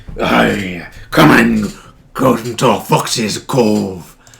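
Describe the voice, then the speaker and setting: In a put-on character voice, a man speaks raspily at a very slow pace. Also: medium pitch for a man. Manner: gruff, inviting.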